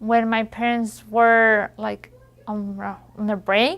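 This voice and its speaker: On a very clean recording with a silent background, a woman with a fairly high pitch speaks in a Spanish accent with fairly even intonation. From Mexico. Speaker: high school graduate. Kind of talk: testimony. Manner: halting.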